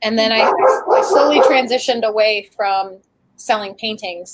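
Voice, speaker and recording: At a moderate pace, a woman speaks at a fairly high pitch in an ordinary speaking voice. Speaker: YouTube creator and crafter. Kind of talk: casual chat.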